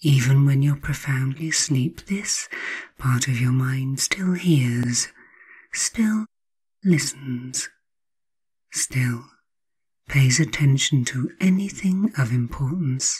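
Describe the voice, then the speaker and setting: A woman with a very deep, low pitch and a calm, soothing, somewhat breathy tone speaks at a very slow pace with lively intonation and long, frequent pauses. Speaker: hypnotherapist. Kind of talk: guided hypnosis. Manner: slow, soothing; calm, hypnotic, repetitive phrasing.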